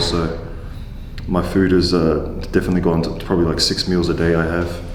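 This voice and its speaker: Over noticeable background noise and audible room echo, a man with a very deep, low pitch talks at a fairly quick pace with an Australian accent. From Australia, Queensland, Gold Coast. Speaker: professional wrestler, former rugby player. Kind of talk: casual chat.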